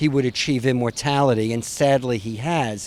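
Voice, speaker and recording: A man speaks at a moderate pace with a New York accent. His pitch sits in the middle range. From New York City. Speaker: author. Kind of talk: interview.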